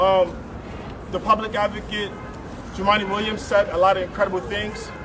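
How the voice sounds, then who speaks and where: Over noticeable background noise, a man with a New York accent speaks at moderate pace with high pitch and monotone, flat intonation. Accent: American (New York). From West Africa, raised in US from age six (New York). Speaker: immigrant advocate. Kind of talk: rally speech.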